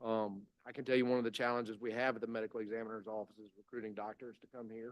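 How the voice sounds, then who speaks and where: In a Mississippi accent, a man speaks at a very fast pace and a medium pitch. His intonation is monotone and flat, with big swings in loudness. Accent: Mississippi Southern US. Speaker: state public safety commissioner. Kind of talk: legislative committee testimony. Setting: committee hearing room with microphone. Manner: halting, many fillers.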